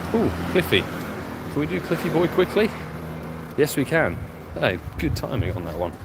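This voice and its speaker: At a moderate pace and medium pitch, a man talks with very wide pitch swings and long, frequent pauses over noticeable background noise. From London, England. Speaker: pokemon go streamer. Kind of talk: live stream commentary. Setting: outdoors playing on the go. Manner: casual, animated.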